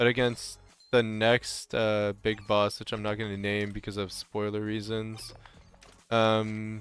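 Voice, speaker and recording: Over background music, a man talks at a fairly slow pace in a fairly low pitch with a flat, monotone delivery. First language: French. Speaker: video game streamer. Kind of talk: live gameplay stream chat. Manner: casual, halting with repeated words.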